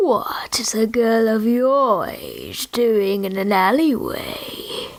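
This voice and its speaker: Using a put-on character voice, a woman speaks at a very slow pace with a fairly high pitch. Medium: read story. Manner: sly, slow, menacing.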